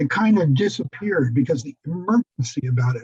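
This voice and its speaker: Lively in intonation, a man speaks at a fairly high pitch with a dark, mellow, somewhat breathy tone in a dry, close sound with no echo. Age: 70s. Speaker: AIDS survivor presenter. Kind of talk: Q&A answers in online forum.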